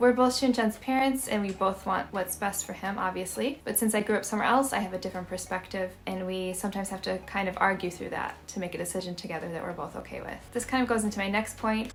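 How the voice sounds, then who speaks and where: A woman at a medium pitch, very fast pace and fairly even intonation, over noticeable background noise. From United States. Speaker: vlogger. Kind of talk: casual talk to camera.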